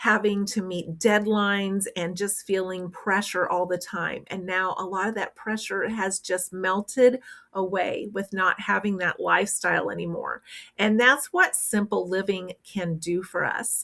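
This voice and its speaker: Speaking at a fairly slow pace, a woman with a Midwestern US accent uses a bright, sharp tone at medium pitch with fairly even intonation. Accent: US Midwest. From rural Kansas. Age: 60s. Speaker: retired frugal living vlogger. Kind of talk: casual vlog talk. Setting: at home, windows open.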